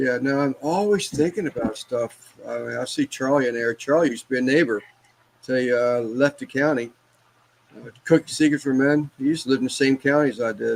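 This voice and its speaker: In an ordinary speaking voice, a man talks at a fairly quick pace with medium pitch and ordinary pitch variation, in a dry, close sound with no echo. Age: 60s. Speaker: barbecue cook and embroiderer. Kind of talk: casual chat.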